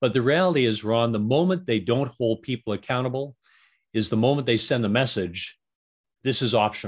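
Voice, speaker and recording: In a very clean recording with a silent background, a man with a western Canadian accent speaks at medium pitch, with ordinary pitch variation and very even loudness. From Canada, Vancouver. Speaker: strategy consultant and author. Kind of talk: interview.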